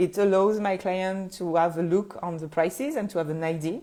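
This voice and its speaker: In a French accent, a woman speaks at a moderate pace with a dark, mellow tone and fairly even intonation, recorded very cleanly over a silent background. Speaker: photographer and business coach podcaster. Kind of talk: solo podcast talk. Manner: halting, frequent fillers.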